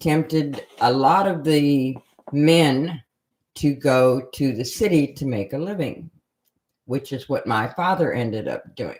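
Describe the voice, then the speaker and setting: In an American accent, a woman speaks at a very slow pace with a very deep, low pitch. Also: ordinary pitch variation. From Minnesota, US Midwest. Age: 70s. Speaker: graphic designer. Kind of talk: life story interview. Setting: livestream.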